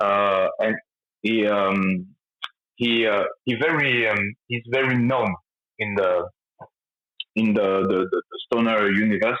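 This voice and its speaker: A man's fairly low voice at a very slow pace, with fairly even intonation and long, frequent pauses. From France. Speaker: rock band lead singer. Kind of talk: interview. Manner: halting, many fillers.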